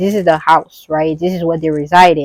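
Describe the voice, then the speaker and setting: The speaker has a non-native accent. The sound is dry and close, with no echo. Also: woman. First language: not English. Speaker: astrology content creator. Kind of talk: casual astrology talk to camera. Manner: casual, filler-heavy with restarts.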